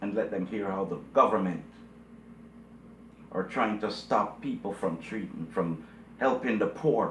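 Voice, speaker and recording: A man at a fairly slow pace with long, frequent pauses and audible room echo. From Jamaica. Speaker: video blogger. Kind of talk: commentary monologue. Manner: emphatic, repetitive.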